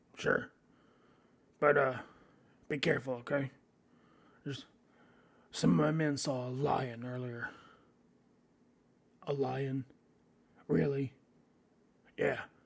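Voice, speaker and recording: A man's put-on character voice at medium pitch, fairly slow pace, with long, frequent pauses. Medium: actual play. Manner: brusque.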